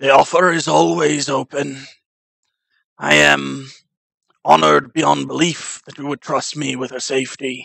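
Using a raspy, put-on character voice at medium pitch, a man speaks at a moderate pace with long, frequent pauses. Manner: formal, solemn, kind.

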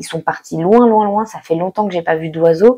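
Against a quiet background, a woman speaks in a dark, mellow tone with fairly even intonation. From France. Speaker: exchange student YouTuber. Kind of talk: vlog monologue. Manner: casual, hesitant with fillers. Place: home room. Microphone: lapel.

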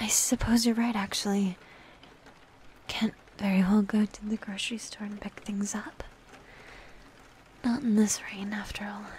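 The soft-spoken delivery moves at a moderate pace with long, frequent pauses and light background noise. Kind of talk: intimate roleplay monologue, soft comforting talk. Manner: soft, hushed ASMR girlfriend voice.

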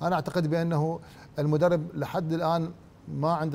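The man's pitch is fairly high, and he keeps a moderate pace. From Iraq. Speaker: football pundit. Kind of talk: sports panel discussion. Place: studio. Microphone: lapel.

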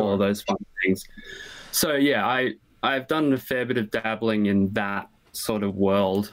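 With an Australian accent, a man is talking. He goes at a very slow pace. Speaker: interview guest. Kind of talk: casual interview chat. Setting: video call. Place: workshop.

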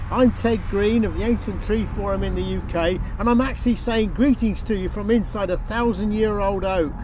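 A man is heard in a dry sound with no echo, against noticeable background noise. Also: hardly any pauses. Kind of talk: recorded address to a conference. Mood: warm, enthusiastic. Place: open country.

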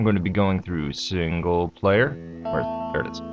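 A man's voice over music in the background. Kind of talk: casual gameplay voice-over.

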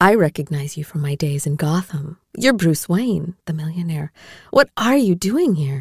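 Doing a put-on character voice, a woman speaks at a low pitch and moderate pace with lively intonation, a slightly mellow tone and a slightly husky edge, in a dry, close sound with no echo on a very clean recording with a silent background.

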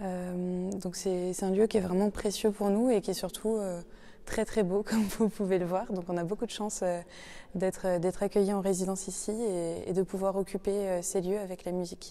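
With a dark, mellow tone, a woman speaks in a monotone, flat intonation. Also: moderate pace. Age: 20s. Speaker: arts production manager. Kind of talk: interview testimony. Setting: chapel. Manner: hesitant, many fillers.

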